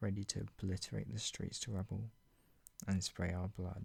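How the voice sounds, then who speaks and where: He has a very deep, low pitch with vocal fry. The man keeps a moderate pace and ordinary pitch variation. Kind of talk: dramatic reading of own dark fiction. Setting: ASMR reading video, soft spoken.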